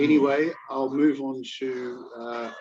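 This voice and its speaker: This is a man with an Australian accent. His pitch is medium. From Australia, Melbourne. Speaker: job-seeking teacher. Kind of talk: job fair Q&A, self-introduction. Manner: halting, many fillers.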